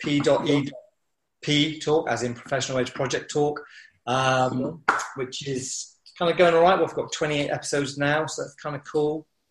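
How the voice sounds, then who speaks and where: A man talks at a moderate pace in a fairly high pitch. His voice is somewhat breathy, with fairly even intonation. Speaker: mountaineering instructor and business coach. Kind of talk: casual interview chat.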